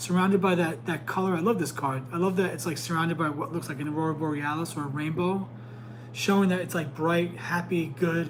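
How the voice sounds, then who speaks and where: A man rattles off his words very fast and with lively intonation, the room echo audible and background noise noticeable. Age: 40s. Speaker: tarot reader and psychic. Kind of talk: live stream tarot reading. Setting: live stream. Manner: stumbles over words.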